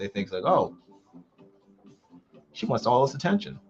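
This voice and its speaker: Over music in the background, a man with an American accent speaks at a medium pitch and a fairly quick pace. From United States. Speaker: comic artist streamer. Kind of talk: casual live stream chat while drawing. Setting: live stream. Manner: halting.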